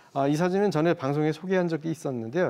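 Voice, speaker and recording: An unremarkable speaking voice from a man, fairly high in pitch, with lively intonation. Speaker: photographer. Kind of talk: explanatory talk on a broadcast segment.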